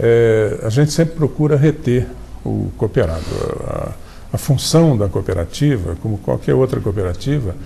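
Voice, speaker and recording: A man talks fairly slowly with lively intonation while noticeable noise fills the background. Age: 70s. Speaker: doctor and health cooperative president. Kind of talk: TV interview. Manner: halting.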